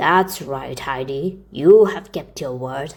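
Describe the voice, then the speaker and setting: A growling, put-on character voice at a low-to-middle pitch, with lively intonation and a fairly slow pace. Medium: read story. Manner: terse, gruff.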